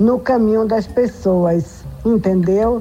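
Her pitch shifts in an ordinary way. The woman is heard over noticeable background noise. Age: old. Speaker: religious elder. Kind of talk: radio reflection message. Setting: radio broadcast.

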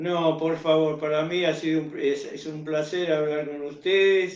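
A man's fairly high voice at a fairly slow pace, with monotone, flat intonation. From Buenos Aires, Argentina. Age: 80s+. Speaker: tango singer. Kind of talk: interview. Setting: remote call.

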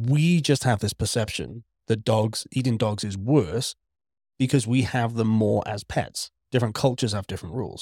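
A man with a Welsh accent speaks at a moderate pace, medium in pitch and somewhat breathy, with ordinary pitch variation. The sound is dry and close with no echo, on a very clean recording against a silent background. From Wales. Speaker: podcast co-host. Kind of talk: casual chat.

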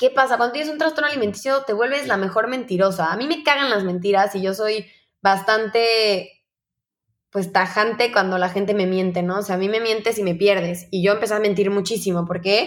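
A woman with an unremarkable speaking voice talks at a fairly quick pace and medium pitch. Her pitch varies in an ordinary way, and the recording is very clean with a silent background. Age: 20s. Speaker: eating disorder survivor. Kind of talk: testimony.

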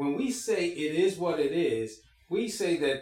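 A man speaks over noticeable background noise. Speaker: pastor. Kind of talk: church service opening and prayer. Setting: church.

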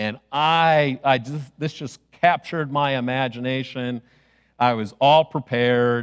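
Fairly slow and fairly even in intonation, a man speaks with an American accent. He has a plain, everyday voice at medium pitch. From US Midwest (Chicago). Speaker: pastor. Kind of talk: sermon.

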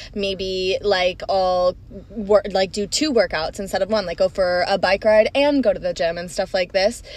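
A woman with an American accent speaks in a normal speaking voice. Her pace is moderate and her medium pitch shows ordinary variation. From Florida and Minnesota. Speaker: podcast co-host. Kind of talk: casual chat.

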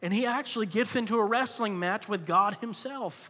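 A man with an American accent uses a raised, projected voice. His pitch is high and his tone is bright and sharp. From Florida. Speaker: pastor. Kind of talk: sermon. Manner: animated.

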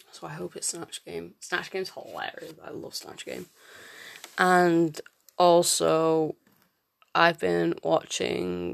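Someone with a British accent talks at a very slow pace, with long, frequent pauses. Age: 20s. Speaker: podcaster. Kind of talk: solo casual monologue.

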